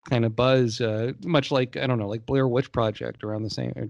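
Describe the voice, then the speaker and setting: A man's normal speaking voice, medium in pitch, with ordinary pitch variation, a moderate pace and a quiet background. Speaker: podcast host. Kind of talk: casual chat.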